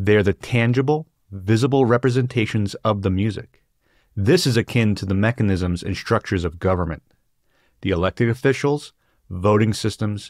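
A man's fairly low voice at a moderate pace, with ordinary pitch variation, a quiet background and a dry sound with no echo. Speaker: book discussion host. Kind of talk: lecture. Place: home room. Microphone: studio mic.

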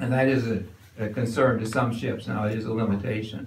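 Light background noise and audible room echo around a man's moderate pace. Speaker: resident lecturer. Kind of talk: lecture. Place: hall.

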